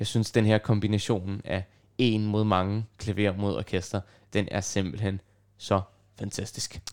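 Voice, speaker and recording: Monotone, flat delivery from a man in a very clean recording with a silent background. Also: fairly low pitch for a man, fairly slow pace. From Copenhagen, Denmark (Nørrebro). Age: 20s. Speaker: radio host and pianist. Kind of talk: casual chat. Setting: student's room at a music dormitory.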